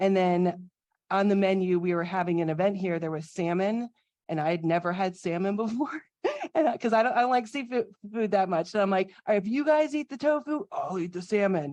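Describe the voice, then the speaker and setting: Speaking at a fairly quick pace with lively intonation, this is an unremarkable speaking voice with an American accent. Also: woman, medium pitch for a woman. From Florida. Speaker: registered dietitian cooking instructor. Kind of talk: cooking demo casual talk.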